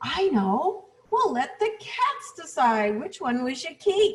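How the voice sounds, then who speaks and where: In a put-on character voice, a woman talks at a fairly slow pace with an extremely high pitch and very wide pitch swings. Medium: read story.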